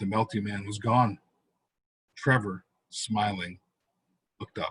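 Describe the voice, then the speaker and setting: A man's voice, somewhat breathy, sits at a medium pitch. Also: dry, close sound with no echo. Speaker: author. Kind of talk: horror short story reading.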